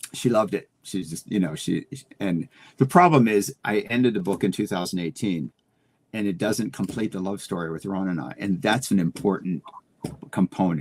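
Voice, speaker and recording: A man speaks at a fairly low pitch and a moderate pace, with ordinary pitch variation. The sound is dry and close, with no echo. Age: 60s. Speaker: flight attendant and author, guest. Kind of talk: casual interview chat. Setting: live stream. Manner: halting, frequent repetitions.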